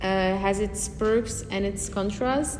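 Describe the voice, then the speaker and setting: The speech carries audible room echo and noticeable background noise. Pitch varies in an ordinary way. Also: woman. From Belgium, Antwerp. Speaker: architecture student. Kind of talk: interview. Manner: hesitant, many fillers.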